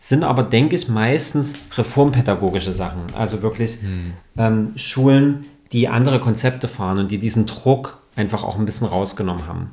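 A man speaks at a moderate pace in a medium pitch, his dark, mellow tone somewhat breathy, with ordinary pitch variation. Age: 30s. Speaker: yoga and mindfulness teacher. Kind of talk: podcast interview.

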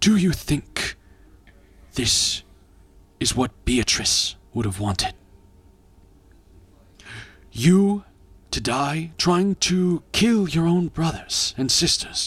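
A put-on character voice at a middle pitch. It moves at a very slow pace with long, frequent pauses. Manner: accusing, reproachful.

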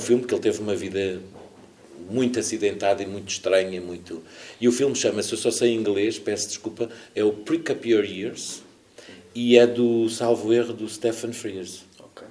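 In a room with audible echo, a man with a dark, mellow tone and medium pitch speaks at a moderate pace with fairly even intonation and big swings in loudness. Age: 50s. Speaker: actor. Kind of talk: casual chat. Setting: stage with audience.

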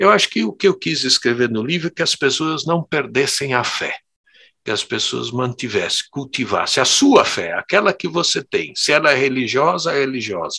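A man's fairly high, bright, sharp voice with vocal fry at a moderate pace, dry and close with no echo over a quiet background. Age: 60s. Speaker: theologian and professor. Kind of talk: interview conversation.

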